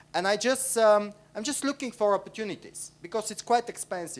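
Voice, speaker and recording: The speaker has a Bulgarian accent. The pace is moderate. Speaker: audience member asking a question. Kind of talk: conference panel question. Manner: halting.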